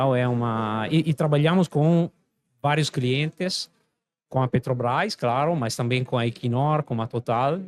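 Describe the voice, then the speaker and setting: In an Italian accent, a man at medium pitch speaks fairly slowly with ordinary pitch variation, the recording very clean with a silent background and a dry, close sound with no echo. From Italy. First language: Italian (speaking Portuguese). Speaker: company president, engineer. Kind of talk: podcast interview. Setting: event venue. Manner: hesitant, many fillers.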